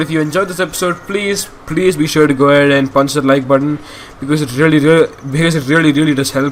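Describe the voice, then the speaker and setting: Very fast and fairly high-pitched, a man speaks with ordinary pitch variation. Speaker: gaming youtuber. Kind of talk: let's play commentary. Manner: halting.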